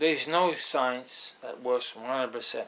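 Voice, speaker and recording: A man with a non-native accent, fairly slow and fairly even in intonation, with audible room echo. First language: not English. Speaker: astrologer. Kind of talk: lecture. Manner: halting.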